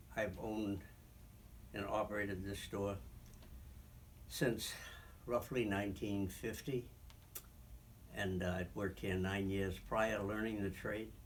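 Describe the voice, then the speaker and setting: A somewhat breathy man with an Eastern New England accent, fairly low-pitched, fairly slow and fairly even, with long, frequent pauses. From Franklin, Massachusetts. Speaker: shoe store owner, Korean War veteran. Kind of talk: oral history interview answer.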